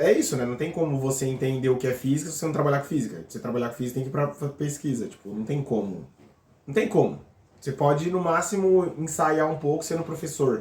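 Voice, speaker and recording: The speech moves at a very fast pace with ordinary pitch variation. The voice is somewhat breathy. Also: man, fairly high pitch for a man. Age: 30s. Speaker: physics PhD student. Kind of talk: casual interview.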